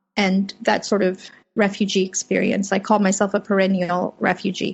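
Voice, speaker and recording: Her voice is somewhat breathy. The woman's intonation is monotone and flat. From Afghanistan, then California (Fremont). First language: Farsi (Dari/Persian). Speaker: freelance journalist. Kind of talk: interview. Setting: home office.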